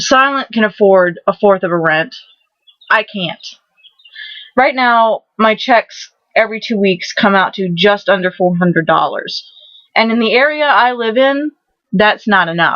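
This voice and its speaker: With an American accent, a woman talks at a fairly high pitch and a fairly slow pace, her intonation lively and her speech broken by long, frequent pauses. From Maryland, St. Mary's County. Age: 20s. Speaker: vlogger. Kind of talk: casual vlog monologue. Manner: halting, repetitive.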